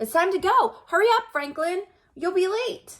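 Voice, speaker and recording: A squeaky, put-on character voice from a woman, extremely high-pitched, with lively intonation at a moderate pace. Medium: read story. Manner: cheerful, carefree.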